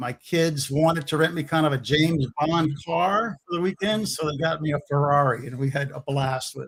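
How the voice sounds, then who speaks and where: This man speaks with an American accent at a fairly high pitch, somewhat breathy. His pace is moderate, and his pitch varies in an ordinary way. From Louisiana, Baton Rouge. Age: 60s. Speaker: DIY builder, former contractor. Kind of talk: live stream chat.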